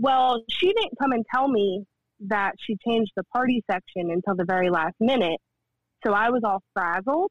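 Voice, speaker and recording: Using an ordinary speaking voice with an American accent, a fairly high-pitched woman speaks at a moderate pace with lively intonation and very even loudness. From New Jersey. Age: 20s. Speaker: former server. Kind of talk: casual chat.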